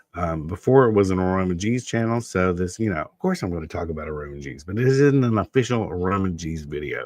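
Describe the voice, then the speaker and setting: A man with a very deep, low pitch talks with lively intonation and big swings in loudness. He hardly pauses at all. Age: 50s. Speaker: tarot reader. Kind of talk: live stream tarot reading. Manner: casual, filler-heavy.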